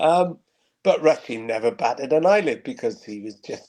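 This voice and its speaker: A dark, mellow tone in a Welsh accent. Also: man. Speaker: football radio commentator. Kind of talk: interview.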